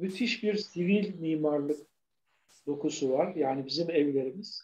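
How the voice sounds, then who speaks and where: A man's fairly high-pitched voice at a very slow pace, with ordinary pitch variation. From Turkey, Bursa. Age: 70. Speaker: architect and urban commentator. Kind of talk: interview.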